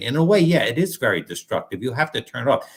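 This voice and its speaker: The speech moves at a very fast pace. Vocal fry runs through the voice. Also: man. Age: 60s. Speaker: doctor, guest. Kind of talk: casual chat. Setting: live online show.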